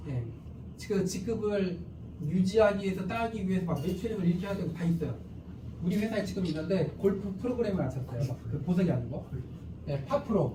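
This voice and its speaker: A man with a high voice speaks at a very fast pace but leaves long, frequent pauses. Audible room echo surrounds him. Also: ordinary pitch variation. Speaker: company CEO presenting business. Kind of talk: sales seminar presentation.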